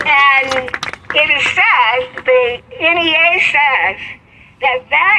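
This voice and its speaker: Speaking very slowly with a high pitch, lively intonation and very even loudness, a woman with an American accent is heard over noticeable background noise. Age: 80s+. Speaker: civil rights activist and retired teacher. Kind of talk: interview answer.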